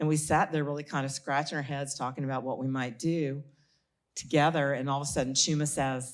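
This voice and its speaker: With a South Carolina accent, a woman speaks at a fairly quick pace in a very deep, low pitch and a monotone, flat intonation. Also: very clean recording, silent background. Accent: South Carolina Southern. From US South. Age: 70s. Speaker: author. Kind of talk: panel talk. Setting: stage with audience.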